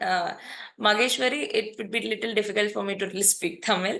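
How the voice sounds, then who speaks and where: A woman with an Indian accent has a bright, sharp tone and a fairly high pitch. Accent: Indian English (Telugu). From India, Hyderabad, Telangana. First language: Telugu. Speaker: data engineering trainer. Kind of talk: online class wrap-up.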